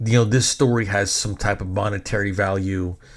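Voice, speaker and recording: With an American accent, a man talks at a fairly quick pace in a fairly low, somewhat breathy voice. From Texas. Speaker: podcast host, DJ and filmmaker. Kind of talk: casual storytelling monologue. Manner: animated.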